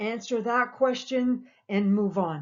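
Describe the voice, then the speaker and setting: A woman's fairly high-pitched voice with ordinary pitch variation, an ordinary speaking voice. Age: 60s. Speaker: fitness coach. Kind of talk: instructional talk. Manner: casual with filler words.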